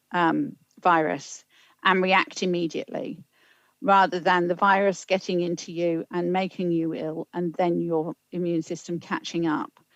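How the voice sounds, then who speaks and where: A woman with a British accent, fairly low-pitched, at a fairly slow pace with ordinary pitch variation, in a dry, close sound with no echo. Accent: UK. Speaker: public health official. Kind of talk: council meeting briefing.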